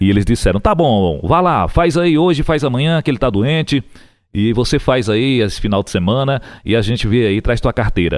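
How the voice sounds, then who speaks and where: On a very clean recording with a silent background, a man with an ordinary speaking voice and a medium pitch speaks at a moderate pace with lively intonation. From Piauí, Brazil. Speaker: radio broadcaster and TV booth announcer. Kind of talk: interview answer, casual conversation telling career story.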